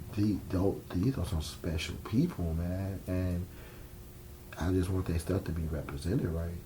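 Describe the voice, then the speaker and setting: With an American accent, a man speaks at a very deep, low pitch, his tone dark and mellow and somewhat breathy. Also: fairly even intonation, fairly slow pace. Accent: New York accent when upset. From New York. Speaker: filmmaker. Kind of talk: interview. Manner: casual, blunt; stumbles over words.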